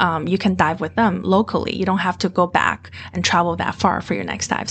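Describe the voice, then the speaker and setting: At a fairly quick pace, a woman with a Mandarin accent speaks at a fairly low pitch with ordinary pitch variation. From Beijing, China. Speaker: MBA student, former dive instructor and finance manager. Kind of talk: casual interview.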